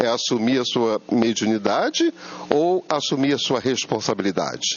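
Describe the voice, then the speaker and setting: Over noticeable background noise, a man talks at medium pitch with lively intonation. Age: 70s. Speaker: spiritist lecturer. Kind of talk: lecture. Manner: conversational, asks audience rhetorical questions.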